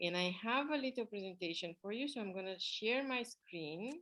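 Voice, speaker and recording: A woman with a non-native accent speaks at a medium pitch and a moderate pace. Her tone is bright and sharp, with lively intonation. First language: not English. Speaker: art therapy instructor and coach. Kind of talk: online class presentation. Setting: online video class with screen share. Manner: hesitant with fillers.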